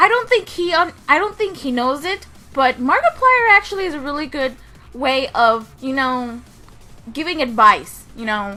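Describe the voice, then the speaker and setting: Over music in the background, a woman speaks in a raised, projected voice at a moderate pace. Her pitch is high and swings very widely. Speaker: gaming YouTuber. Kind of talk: casual vlog monologue. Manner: halting, repeats words.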